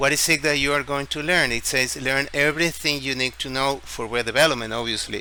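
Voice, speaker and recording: Amid noticeable background noise, a man with a Spanish accent and a fairly high pitch talks at a fairly quick pace with hardly any pauses and fairly even intonation. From Ecuador, Guayaquil. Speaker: tech YouTuber and English teacher. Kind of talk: screen-share tutorial.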